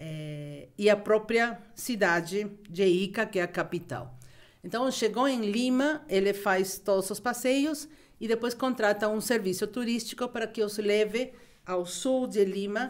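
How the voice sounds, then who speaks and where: A woman's fairly high, lively voice with a Peruvian accent, at a fairly slow pace, on a very clean recording with a silent background. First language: Spanish (speaking Portuguese). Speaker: travel expert. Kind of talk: podcast interview.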